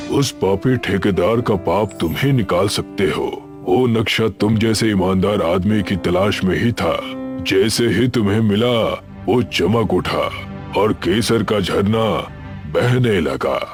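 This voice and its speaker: Over loud background music, a man does a cartoonish character voice with fairly low pitch, talking at a fairly slow pace. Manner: calm, solemn.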